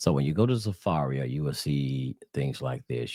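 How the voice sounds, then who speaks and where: At a moderate pace and with ordinary pitch variation, the voice comes through as a dry, close sound with no echo. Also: man. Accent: American. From US South. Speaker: religious teacher. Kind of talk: religious teaching video. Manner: casual, halting with fillers.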